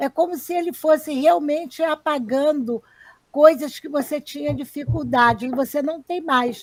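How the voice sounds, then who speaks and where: Speaking at a fairly slow pace, a woman uses a high pitch with ordinary variation and big swings in loudness. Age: 60s. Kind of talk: live stream conversation.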